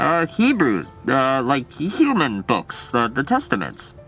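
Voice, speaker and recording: Over clear music in the background, a man uses a cartoonish character voice at medium pitch and a fairly slow pace. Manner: hesitant, halting, filler-laden.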